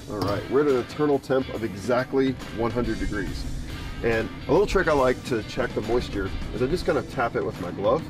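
An American-accented man talks fairly quickly with lively intonation. Clear music plays behind the dry sound, which has no echo. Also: medium pitch for a man. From Southeastern North Carolina. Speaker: barbecue cook. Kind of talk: casual cooking talk to camera. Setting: outdoors. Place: garden.

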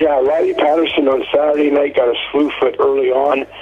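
This man speaks at a moderate pace and medium pitch, his fairly even intonation carrying a slightly husky edge.

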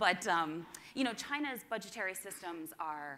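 Bright, sharp tone from a woman with lively intonation. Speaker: conference presenter. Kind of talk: presentation talk. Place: hall.

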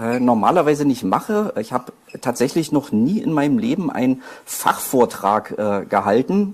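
Fairly slow speech from a man with a fairly high pitch and very wide pitch swings. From Berlin, Germany. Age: 40s. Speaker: author and poetry slammer; speaker. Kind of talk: lecture. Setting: university lecture hall with audience. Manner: halting, many fillers. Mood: self-deprecating, slightly nervous. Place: hall.

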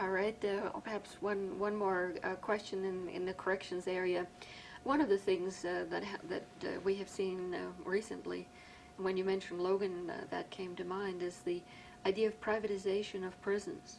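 Over noticeable background noise, a woman talks at a medium pitch in a flat, monotone delivery. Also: moderate pace. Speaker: criminal justice professor, interviewer. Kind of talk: oral history interview.

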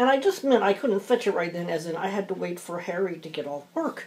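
Moderate pace and ordinary pitch variation from a woman, with light background noise. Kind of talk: casual craft chat while working. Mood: amused, chatty. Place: home room. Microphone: phone near.

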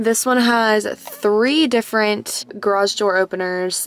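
Light background noise sits under the speech. The sound is dry with no echo. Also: woman. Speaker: vlogger. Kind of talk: casual vlog chat. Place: car.

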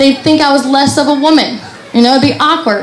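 Noticeable background noise and audible room echo surround a woman's voice. She talks at a very fast pace with ordinary pitch variation. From Kentucky (Appalachian mountains). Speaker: comedian. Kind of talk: stand-up. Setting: stage with audience.

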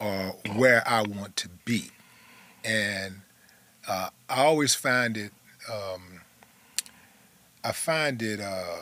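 A man's bright, sharp voice with ordinary pitch variation, dry with no echo. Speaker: podcast host. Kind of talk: interview questions. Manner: conversational, halting. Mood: reflective, thoughtful. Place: studio. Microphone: studio mic.

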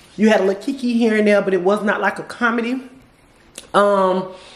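A woman's medium-pitched voice at a very fast pace, with audible room echo and noticeable background noise. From Florida. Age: 40s. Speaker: vlogger. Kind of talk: casual vlog chat. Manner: animated.

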